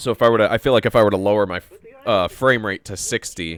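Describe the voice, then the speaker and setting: Vocal fry marks this man's voice as he talks at a fairly quick pace. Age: 20s. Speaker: video game streamer. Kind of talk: casual chat. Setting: live stream. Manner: halting.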